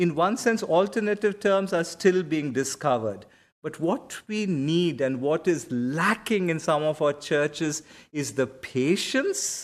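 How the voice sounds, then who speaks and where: Speaking at a fairly slow pace with a Karnataka accent, a man uses lively intonation at a fairly high pitch on a very clean recording with a silent background. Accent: Indian English (Kannada). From India (Karnataka). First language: Kannada. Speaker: seminary professor and pastor. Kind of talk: lecture with Q&A answer. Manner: conversational, self-correcting.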